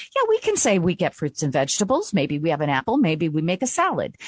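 A woman speaks in a warm, enthusiastic tone, captured with a dry, close sound and no echo. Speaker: radio talk show host. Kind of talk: radio interview and sponsor reads.

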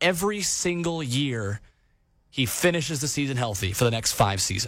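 A man's medium-pitched voice with very wide pitch swings on a very clean recording with a silent background. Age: 20s. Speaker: sports podcast host. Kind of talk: sports talk podcast monologue.

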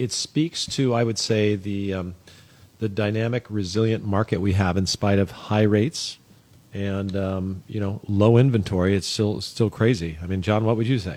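Here is a man with an unremarkable speaking voice, fairly low in pitch. He keeps a moderate pace and fairly even intonation. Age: 60s. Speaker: real estate broker. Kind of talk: casual chat.

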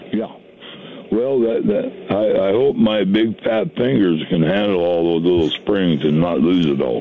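Over noticeable background noise, a man with a fairly low pitch talks at a fairly slow pace with lively intonation. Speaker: caller. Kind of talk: casual phone chat asking a question. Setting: phone call.

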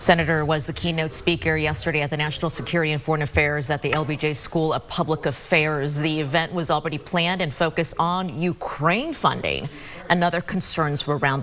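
A woman with a very deep, low pitch talks at a fairly quick pace with fairly even intonation and hardly any pauses, amid noticeable background noise. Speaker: news anchor. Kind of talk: news reading.

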